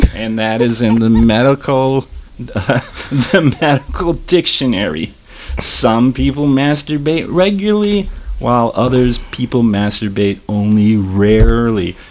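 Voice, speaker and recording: A man with an American accent at medium pitch, fairly slow, with lively intonation and noticeable background noise. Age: 30s. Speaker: radio DJ. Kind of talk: casual chat. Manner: animated.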